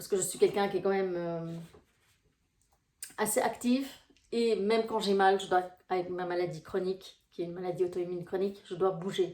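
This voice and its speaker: Fairly quick speech with long, frequent pauses in a Brussels accent, a dark, mellow tone, fairly even intonation and big swings in loudness. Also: woman, medium pitch for a woman. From Belgium, Brussels. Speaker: life coach. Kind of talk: casual vlog talk to viewers. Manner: hesitant, many fillers.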